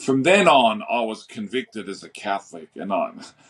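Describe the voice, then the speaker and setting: The speaker is a man with an Australian accent. He keeps a moderate pace and ordinary pitch variation. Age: 60s. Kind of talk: interview conversation.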